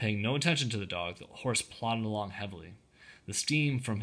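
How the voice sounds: Ordinary pitch variation throughout a natural reading voice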